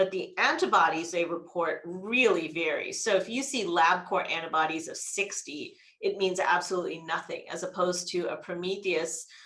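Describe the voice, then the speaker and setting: A woman's bright, sharp tone at medium pitch moves at a moderate pace with ordinary pitch variation and hardly any pauses, in audible room echo. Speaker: gastroenterologist. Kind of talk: lecture.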